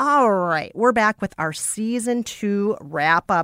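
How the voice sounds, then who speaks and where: Recorded very cleanly against a silent background, a woman speaks with lively intonation in a dry, close sound with no echo. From Minnesota, US Midwest. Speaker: podcast co-host. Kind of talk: casual chat. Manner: loud.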